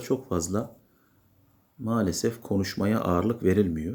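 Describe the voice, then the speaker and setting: A man with a fairly low, dark, mellow voice speaks very slowly with ordinary pitch variation. The recording is very clean, with a silent background. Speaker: English teacher. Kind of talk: tutorial.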